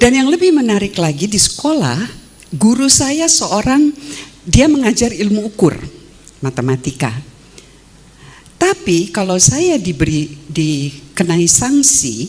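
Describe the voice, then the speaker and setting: A woman speaks with very wide pitch swings at a fairly slow pace. Noticeable background noise is present. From Indonesia, West Java (Sukabumi), Dutch-Indonesian family. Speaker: philosophy professor. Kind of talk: academic talk. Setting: stage with audience.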